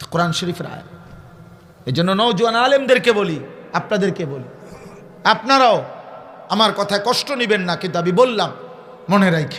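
A man with a high pitch speaks in an animated tone, his intonation lively and his loudness swinging widely, with audible room echo around him. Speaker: Islamic preacher. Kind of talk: sermon. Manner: animated, emphatic repetition.

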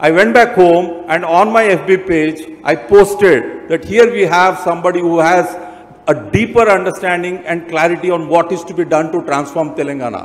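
A man talking at moderate speed, high in pitch for a man, with ordinary variation in pitch. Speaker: speaker. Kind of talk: formal speech. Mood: praising, enthusiastic. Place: stage. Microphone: handheld.

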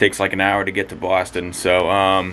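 There is music in the background. Over it, a man talks at a fairly quick pace. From Massachusetts. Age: 20s. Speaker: vlogger. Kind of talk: casual talk to camera.

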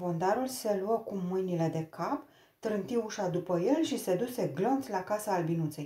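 An unforced reading voice carries the recording.

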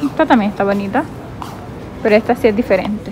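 A woman with a Colombian Caribbean accent, fairly high pitch, fairly even intonation, and clear background noise

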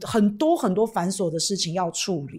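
A woman's animated tone at a moderate pace, full of lively intonation, against a quiet background. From Taiwan. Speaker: political livestream host. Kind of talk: livestream chat with viewers. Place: studio. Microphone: studio mic.

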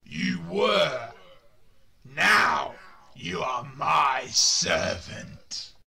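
In a raspy, guttural put-on character voice, a man speaks at a very slow pace with long, frequent pauses and an audible echo. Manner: menacing.

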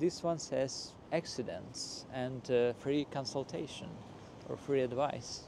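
The dark, mellow voice moves very slowly with ordinary pitch variation, in a dry sound with no echo and noticeable background noise. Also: man. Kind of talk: casual vlog chat. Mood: quiet, slightly self-conscious. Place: street. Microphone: phone near.

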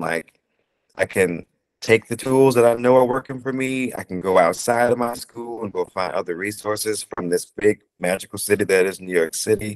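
A man with an American accent talks at a moderate pace with ordinary pitch variation over a quiet background. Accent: sounds Southern to some listeners. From Ohio, US Midwest. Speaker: actor. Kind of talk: casual interview. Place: home room. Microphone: earbuds.

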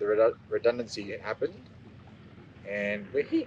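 A man's voice comes through dry, with no echo. Light background noise sits behind it. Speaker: travel vlogger. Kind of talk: casual vlog chat. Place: waterside.

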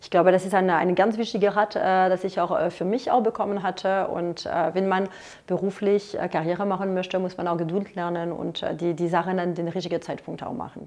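In a French accent, a woman speaks at a medium pitch and a fairly quick pace, her intonation monotone and flat. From France. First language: French (speaking German). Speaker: lobbyist; interviewee. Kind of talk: interview questionnaire. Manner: halting, many filler sounds. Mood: calm, reflective. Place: office. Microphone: lapel.

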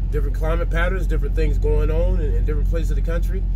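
Very fast speech from a man, dry with no echo, over loud background noise. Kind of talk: casual vlog chat. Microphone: headset.

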